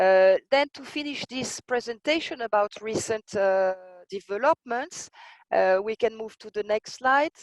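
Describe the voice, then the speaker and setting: The voice has a French accent and a fairly slow pace, with big swings in loudness. The sound is dry and close, with no echo. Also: woman, fairly high pitch for a woman, ordinary pitch variation. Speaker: intellectual property expert. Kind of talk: lecture. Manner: hesitant, many fillers.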